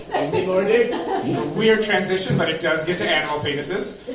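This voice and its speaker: A man with an American accent talks with lively intonation over noticeable background noise. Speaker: amateur stand-up comedian. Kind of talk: stand-up comedy set. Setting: live open mic on stage.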